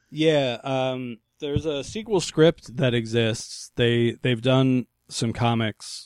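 Here a man speaks at a fairly slow pace and a medium pitch. He has an unremarkable speaking voice. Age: 30s. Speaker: stand-up comedian. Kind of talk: casual chat.

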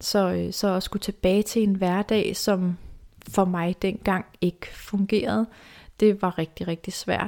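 A dark, mellow tone, monotone and flat, at a very slow pace, on a very clean recording with a silent background. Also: woman, medium pitch for a woman. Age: 30s. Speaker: self-esteem mentor and podcast host. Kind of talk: personal storytelling monologue. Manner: halting, many fillers and repetitions.

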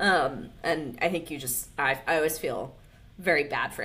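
A woman speaks in a very deep, low pitch. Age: 30s. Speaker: podcast co-host. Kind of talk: casual chat.

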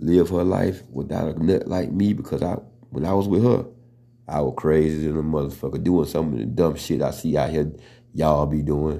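A man with a very deep, low pitch, vocal fry and a dark, mellow tone speaks at a moderate pace. His pitch varies in an ordinary way, and room echo is audible. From US South. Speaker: podcast host. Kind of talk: casual monologue. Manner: stutters at times.

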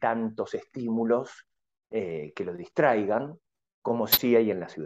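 In a dark, mellow tone, a man talks at a very slow pace. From Argentina. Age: 40s. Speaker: Buddhist monk and Zen teacher. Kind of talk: radio interview.

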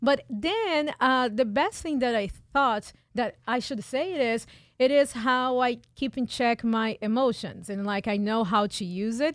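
In a very clean recording with a silent background, a woman with a Portuguese accent talks at a fairly slow pace in a high voice with ordinary pitch variation. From Brazil, São Paulo. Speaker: pilot and marketing expert. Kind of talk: radio interview. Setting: radio studio.

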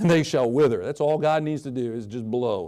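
Against a quiet background, a man speaks with a medium pitch and a dark, mellow tone. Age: 40s. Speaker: guest preacher. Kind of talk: sermon. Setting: church.

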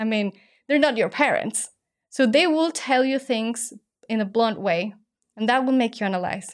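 In a very clean recording with a silent background, a woman with a Spanish accent speaks at a moderate pace, her pitch swinging very widely, with long, frequent pauses. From Mexico. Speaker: startup founder and former ballerina. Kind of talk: interview.

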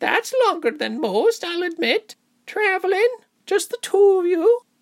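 In a put-on character voice, the speaker sounds squeaky at an extremely high pitch and keeps a moderate pace. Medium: read story. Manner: chatty, crooning, cheerful.

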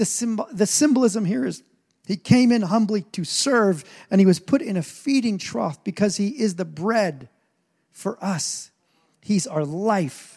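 At a fairly slow pace, a man speaks with a high pitch, an animated tone and lively intonation. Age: 40s. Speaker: pastor. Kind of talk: sermon.

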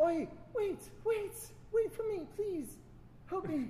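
A put-on character voice at an extremely high pitch comes through over clear background noise. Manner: pleading, urgent.

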